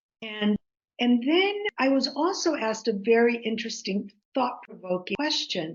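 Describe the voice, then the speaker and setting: A woman keeps a moderate pace, her intonation rising and falling in a lively way. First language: Greek. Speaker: author. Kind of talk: interview. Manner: halting.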